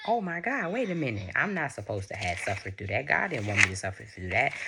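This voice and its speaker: A woman speaks at a very deep, low pitch while music plays in the background. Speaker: spiritual video creator. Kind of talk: testimony. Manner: halting.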